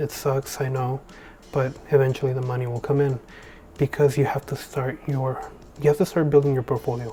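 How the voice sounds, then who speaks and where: A man is whispering. His voice is quiet. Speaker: videographer and photographer, tutorial creator. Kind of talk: tutorial. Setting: at home late at night. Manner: whispering, hushed; casual with many fillers.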